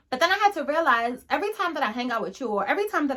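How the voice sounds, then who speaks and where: Her tone is bright and sharp, and the woman's voice is raised and projected. Her pitch moves in very wide swings. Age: 20s. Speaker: faith lifestyle YouTuber. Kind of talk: personal vlog reflection. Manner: casual, conversational.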